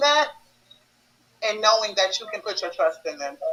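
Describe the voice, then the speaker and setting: Her voice sits at a fairly high pitch for a woman. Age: 20s. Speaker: actress. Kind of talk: panel interview.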